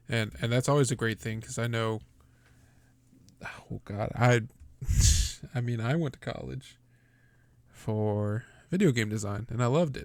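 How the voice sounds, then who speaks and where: A man with an American accent at a medium pitch, moderate pace, and ordinary pitch variation, with long, frequent pauses. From Texas. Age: 20s. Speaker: podcast host. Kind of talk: casual chat. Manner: casual, swears freely.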